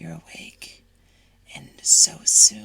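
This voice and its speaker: A put-on character voice comes through in a whisper. It sounds raspy. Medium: read story. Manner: cold, clipped.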